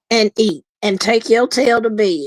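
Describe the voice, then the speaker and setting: The speaker has a Memphis accent and ordinary pitch variation. The sound is dry and close, without echo. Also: woman. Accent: Memphis twang. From Memphis, Tennessee. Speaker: guest streamer. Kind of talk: casual chat. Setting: live stream.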